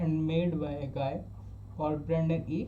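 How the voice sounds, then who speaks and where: A man's fairly high voice in an Indian accent, at a fairly slow pace, with audible room echo. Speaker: self-taught programming learner. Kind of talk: casual tutorial. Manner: halting, with frequent restarts.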